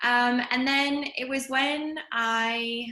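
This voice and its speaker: A woman speaks with a Canadian accent at a fairly high pitch. Her tone is bright and sharp. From Canada, Calgary. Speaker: yoga teacher. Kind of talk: interview.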